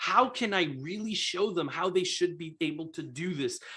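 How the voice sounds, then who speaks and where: A man's raised, projected voice, high in pitch, with a bright, sharp tone, lively intonation and a moderate pace. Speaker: real estate investor and coach. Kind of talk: live stream sales pitch. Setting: live video stream. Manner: animated.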